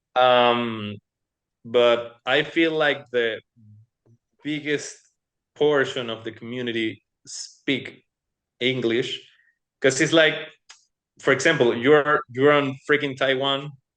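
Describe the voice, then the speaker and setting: The speech comes at a very slow pace with long, frequent pauses. It has a Spanish accent and fairly even intonation. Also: man, medium pitch for a man. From Latin America. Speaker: cardistry competition finalist. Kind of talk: interview. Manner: halting, many repetitions.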